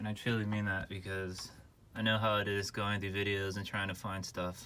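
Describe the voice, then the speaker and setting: A man mumbles his words. His tone is bright and sharp. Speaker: car enthusiast doing own repairs. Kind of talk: DIY car repair tutorial. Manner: casual, mumbling.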